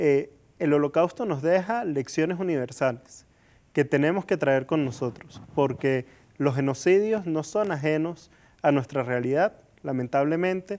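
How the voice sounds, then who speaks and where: Here a man speaks at a fairly slow pace, his fairly high pitch showing ordinary pitch variation. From Venezuela. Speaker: interview guest. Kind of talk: interview. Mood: earnest, calm. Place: studio. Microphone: lapel.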